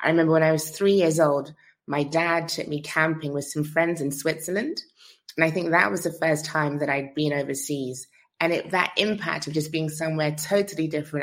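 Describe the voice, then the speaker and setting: This woman has a very deep, low pitch and a London accent. She talks at a fairly quick pace. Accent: British, London. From London, England. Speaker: founder, relocation platform. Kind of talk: interview conversation.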